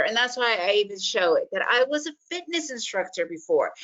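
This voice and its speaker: Very wide pitch swings in a woman's fairly high voice. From United States, Soviet-born refugee. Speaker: day trader and trading educator. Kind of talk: webinar presentation.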